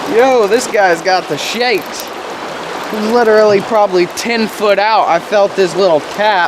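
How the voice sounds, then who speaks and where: Over noticeable background noise, the speaker goes at a moderate pace. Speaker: fishing vlogger. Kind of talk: casual outdoor vlog narration. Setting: outdoors by a waterfall while fishing. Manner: loud, talking over noise.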